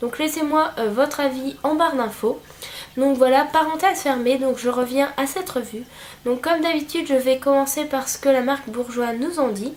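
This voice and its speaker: A woman's high voice at a moderate pace with ordinary pitch variation, against noticeable background noise. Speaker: beauty vlogger. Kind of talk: product review. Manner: hesitant, many fillers.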